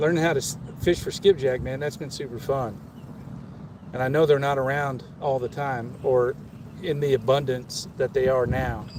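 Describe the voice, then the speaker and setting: A man talks with an American accent and fairly even intonation. Noticeable background noise can be heard. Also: medium pitch for a man, moderate pace. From Kansas. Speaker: fishing livestreamer. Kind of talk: casual live stream chat. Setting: outdoors on a small boat on a river. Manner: casual, with stammers and restarts.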